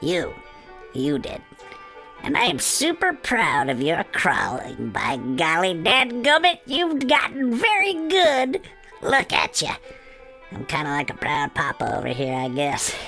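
A put-on character voice, fairly high and fairly slow, over clear music in the background. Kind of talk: campy horror host intro. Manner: gleeful, teasing, bossy.

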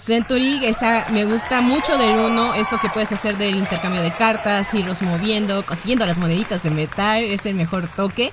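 Speaking at a moderate pace with hardly any pauses, a woman with a Mexican accent uses a medium pitch and ordinary pitch variation over noticeable background noise. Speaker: board game company staff. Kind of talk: casual chat.

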